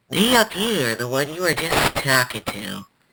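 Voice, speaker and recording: At a moderate pace, a cartoonish character voice speaks at a middle pitch. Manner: eager, chatty.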